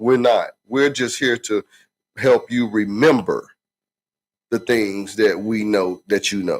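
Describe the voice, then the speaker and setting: A man with a Southern US accent speaks at a medium pitch in a relaxed tone, with fairly even intonation. His pace is very slow, with long, frequent pauses. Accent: country, Southern US. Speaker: podcast co-host. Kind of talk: casual chat. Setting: livestream podcast. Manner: relaxed, repetitive fillers.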